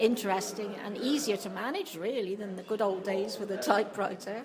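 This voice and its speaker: A woman speaks at a medium pitch. The recording has noticeable background noise and audible room echo. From England, Hereford. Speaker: retired factory office worker. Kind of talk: oral history interview.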